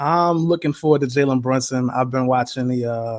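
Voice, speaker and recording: This man talks at a moderate pace with a New York accent and a medium pitch. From New York City (Spanish Harlem). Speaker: basketball fan commentator. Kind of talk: casual interview.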